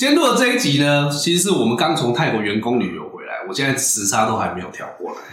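Speaking at a very fast pace, a man is heard over noticeable background noise. His voice carries audible room echo. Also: hardly any pauses. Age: middle-aged. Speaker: podcast host. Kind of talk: casual chat.

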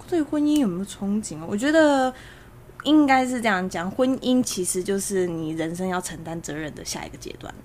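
This woman's voice makes very wide pitch swings and big swings in loudness. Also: medium pitch for a woman, moderate pace. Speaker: podcast editor. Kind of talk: casual chat. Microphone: far from the mic.

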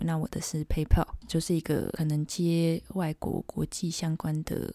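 Quiet and dark, mellow in tone, a woman's very deep, low voice stays monotone and flat on a very clean recording with a silent background. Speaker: podcast co-host and illustrator. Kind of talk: casual chat. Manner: hushed, lowered voice.

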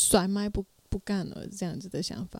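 Slow-ish at a fairly slow pace, a woman speaks with a medium pitch and a dark, mellow tone. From Myanmar. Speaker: emcee and performing arts student. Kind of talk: casual chat.

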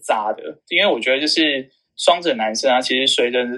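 A man talks at a moderate pace in a fairly high pitch with a bright, sharp tone. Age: 30s. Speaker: insurance sales manager and company trainer. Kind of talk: casual interview.

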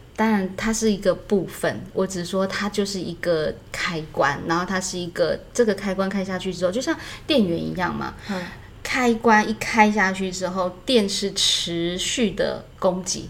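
The woman speaks at a fairly slow pace. Her pitch is medium, with ordinary variation. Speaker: acting teacher. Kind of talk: casual chat. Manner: soft-spoken.

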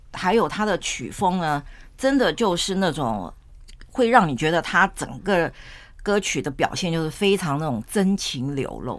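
Over a very clean recording with a silent background, a woman speaks at a fairly slow pace with very wide pitch swings. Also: fairly low pitch for a woman. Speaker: podcast host. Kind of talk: casual chat. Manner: animated.

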